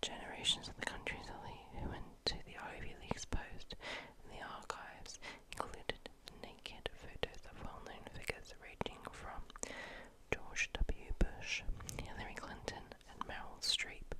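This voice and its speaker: A woman's whispering at a moderate pace, with big swings in loudness and noticeable background noise. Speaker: ASMR content creator. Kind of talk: whispered history facts for sleep, ASMR. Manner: whispered, soft-spoken, calming.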